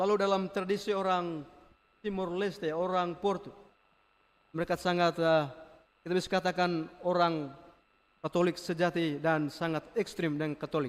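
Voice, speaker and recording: With long, frequent pauses, a man speaks at a moderate pace and a high pitch. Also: fairly even intonation. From Flores, eastern Indonesia. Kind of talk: homily. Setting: church.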